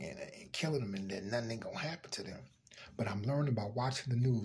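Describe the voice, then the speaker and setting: Somewhat breathy, a man talks with ordinary pitch variation. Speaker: vlogger. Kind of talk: casual vlog commentary. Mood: serious, opinionated. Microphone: phone near.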